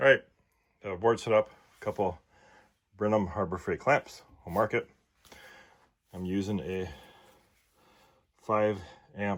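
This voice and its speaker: In a very clean recording with a silent background, a man with a Minnesotan accent talks at a fairly slow pace and fairly low pitch, with ordinary pitch variation, big swings in loudness and long, frequent pauses. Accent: Minnesota. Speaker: tool reviewer YouTuber. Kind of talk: product unboxing and demonstration. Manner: casual, hesitant with fillers.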